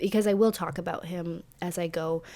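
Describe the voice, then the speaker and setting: Speaking at a very slow pace, a woman has a dark, mellow tone and fairly even intonation. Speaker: true crime podcast host. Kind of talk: podcast narration. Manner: halting with fillers.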